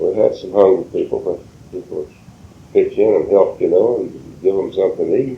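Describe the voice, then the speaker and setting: A man at a moderate pace, with a South Carolina Lowcountry accent. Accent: Southern US, South Carolina Lowcountry. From Colleton County, South Carolina. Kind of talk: interview answer.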